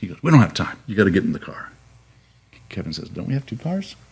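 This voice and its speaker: A somewhat breathy man talking at a very fast pace. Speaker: retired TV news anchor. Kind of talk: casual interview, storytelling.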